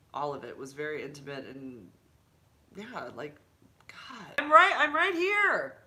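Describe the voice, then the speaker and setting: Marked by long, frequent pauses, a woman speaks in an animated tone with big swings in loudness. Audible room echo and noticeable background noise fill the recording. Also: fairly slow pace. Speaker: YouTuber and HIV advocate. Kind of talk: casual livestream chat. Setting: home livestream with laptop.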